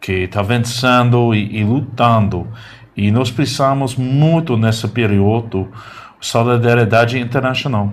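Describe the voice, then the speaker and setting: Speaking in an American accent, the man has a medium pitch, a fairly slow pace, fairly even intonation and very even loudness. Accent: foreign (American) accent in Portuguese. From United States. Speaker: journalist. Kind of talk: interview. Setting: studio. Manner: halting, hesitant.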